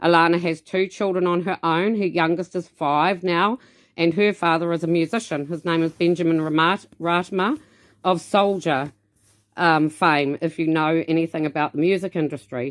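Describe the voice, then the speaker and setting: With a New Zealand accent, a woman speaks at a moderate pace in a fairly low pitch, her intonation fairly even. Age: 50s. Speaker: dance studio owner. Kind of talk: personal introduction to camera. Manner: loud.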